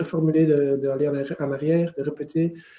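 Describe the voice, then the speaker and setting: A man's fairly high, monotone, flat voice at a moderate pace, amid noticeable background noise. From Flanders, Belgium (Mechelen area). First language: Dutch (speaking French). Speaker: lawyer. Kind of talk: webinar lecture. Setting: online webinar, screen share. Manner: halting, with repetitions.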